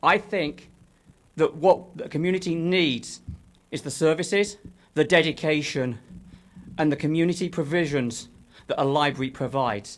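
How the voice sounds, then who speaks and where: With a London accent, a man speaks at a moderate pace and a fairly high pitch, using ordinary pitch variation and long, frequent pauses. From London, England. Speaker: author and former library worker. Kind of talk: public comment. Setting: city council meeting.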